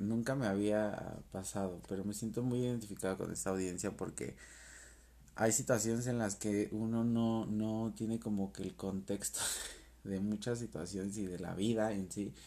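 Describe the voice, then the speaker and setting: Fairly low in pitch with a dark, mellow tone, a man speaks in a Mexican accent with fairly even intonation. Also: very clean recording, silent background. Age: 30s. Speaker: podcaster. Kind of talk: casual monologue.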